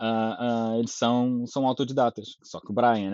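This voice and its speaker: With a normal speaking voice at medium pitch, a man talks at a moderate pace. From Azores, Portugal. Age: 40s. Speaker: game studio developer. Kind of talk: casual interview chat.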